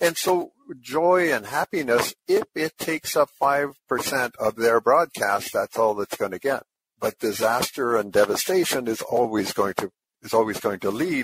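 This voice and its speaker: In a Canadian accent, an unremarkable speaking voice moves at a fairly slow pace with lively intonation, recorded with a dry, close sound and no echo. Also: man, fairly high pitch for a man. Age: 60s. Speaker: blind community advocate. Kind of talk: panel discussion.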